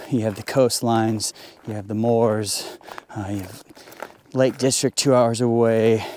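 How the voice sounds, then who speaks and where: A man with an American accent speaks at a fairly slow pace in a monotone, flat delivery with long, frequent pauses. Noticeable background noise runs beneath his voice. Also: medium pitch for a man. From United States. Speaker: landscape photographer. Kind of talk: casual vlog narration. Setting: outdoors. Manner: halting, many fillers.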